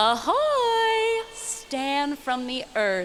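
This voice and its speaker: A woman performs a put-on character voice at an extremely high pitch with very wide pitch swings, with clear background noise behind her. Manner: formal, archaic.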